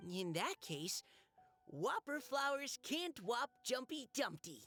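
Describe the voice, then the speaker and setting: A put-on character voice, high in pitch with very wide pitch swings, moves at a fairly slow pace. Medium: video game. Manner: soft, hesitant.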